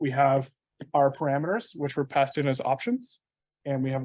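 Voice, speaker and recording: A man's voice, fairly high-pitched for a man. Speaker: software developer, meetup speaker. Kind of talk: technical talk. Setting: meetup with live audience. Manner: fast.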